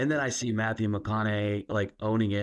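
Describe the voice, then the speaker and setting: Very fast speech from a man at a medium pitch, with an American accent, over a quiet background. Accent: Texas accent, trained away. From Texas. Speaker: podcast host. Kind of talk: casual interview chat.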